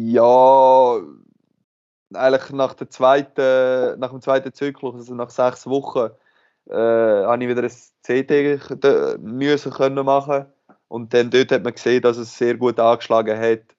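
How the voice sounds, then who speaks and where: Very slow speech from a man in a monotone, flat intonation. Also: medium pitch for a man. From Switzerland, Aargau (Aarau). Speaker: professional handball player. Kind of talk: interview.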